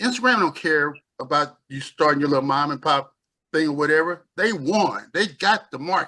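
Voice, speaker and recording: The man's voice is fairly high-pitched, with a bright, sharp tone. His intonation is lively. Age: 60s. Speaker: company CEO. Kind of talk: business update on a group call. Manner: halting, many fillers and restarts.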